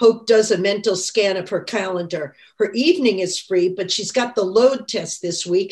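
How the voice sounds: The intonation moves in a lively way. Someone reads aloud naturally.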